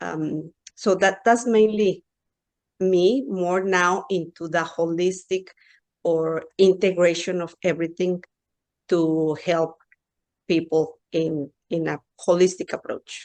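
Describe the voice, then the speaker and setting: A woman with a Mexican accent speaks very slowly in a fairly low voice. Her intonation is fairly even, with long, frequent pauses. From Mexico. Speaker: pediatrician and hypnotherapist. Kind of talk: interview.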